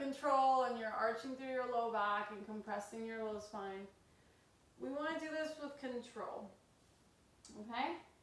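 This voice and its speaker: In a room with audible echo, a woman speaks at a high pitch with ordinary pitch variation. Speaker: yoga instructor. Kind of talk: guided yoga class. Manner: slow; casual.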